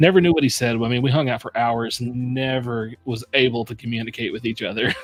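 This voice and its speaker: Over noticeable background noise, a man with an American accent talks at a very fast pace with a medium pitch and fairly even intonation. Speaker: whiskey reviewer, stream host. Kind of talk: casual chat. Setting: live stream.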